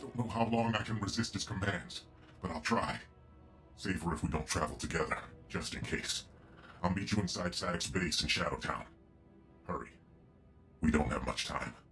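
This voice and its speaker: A man puts on a character voice with a very deep, low pitch. He speaks at a moderate pace over clear music in the background. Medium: machinima.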